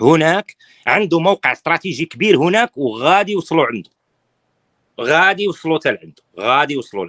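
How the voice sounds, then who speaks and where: Against a quiet background with a dry sound and no echo, a man talks at a fairly quick pace in an animated, bright, sharp tone, with lively intonation, big swings in loudness and vocal fry. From Morocco. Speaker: political opposition activist; political commentator guest. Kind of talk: interview. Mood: critical, serious. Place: home room. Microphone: phone near.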